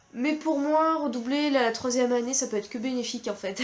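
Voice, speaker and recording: Noticeable background noise sits behind a woman's high-pitched voice. Her pitch varies in an ordinary way. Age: 20s. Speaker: vlogger, university student. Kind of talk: casual vlog talk to camera. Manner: hesitant, with many fillers.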